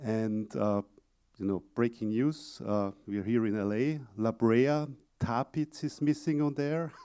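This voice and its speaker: A man at medium pitch with a dark, mellow tone, ordinary pitch variation and a fairly slow pace. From Austria. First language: German. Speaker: exhibit company presenter. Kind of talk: conference presentation. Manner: halting, many fillers.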